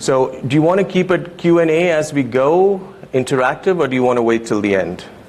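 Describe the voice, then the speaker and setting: In a non-native accent, a man with fairly high pitch talks at a fairly quick pace with lively intonation and very even loudness, audible room echo and noticeable background noise around him. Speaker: lighting designer. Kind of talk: conference talk. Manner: hesitant, many fillers.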